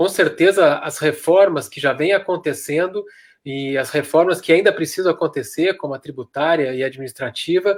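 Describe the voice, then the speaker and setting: The recording is very clean with a silent background, capturing an unremarkable speaking voice at a moderate pace with ordinary pitch variation. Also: man, fairly high pitch for a man. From Rio Grande do Sul, Brazil. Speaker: doctor and mayoral pre-candidate. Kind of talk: panel discussion on live stream.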